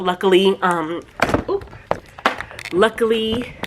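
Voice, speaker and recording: A woman's medium-pitched voice at a fairly slow pace, over noticeable background noise. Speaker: lifestyle vlogger. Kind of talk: product review vlog; casual vlog.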